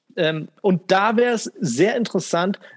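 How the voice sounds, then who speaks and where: A man's voice with a dry, close sound and no echo. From Asia. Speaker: podcast co-host. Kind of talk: casual chat.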